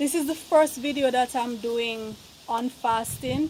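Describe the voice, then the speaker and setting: A woman speaks very slowly in a high voice. Noticeable background noise runs underneath. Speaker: vegan lifestyle vlogger. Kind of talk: casual vlog. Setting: outdoors on a rooftop. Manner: soft-spoken.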